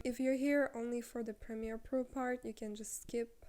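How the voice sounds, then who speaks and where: A woman's fairly high, dark, mellow voice with a non-native accent. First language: not English. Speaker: content creator. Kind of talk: tutorial. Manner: casual, with fillers. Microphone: handheld mic without stand.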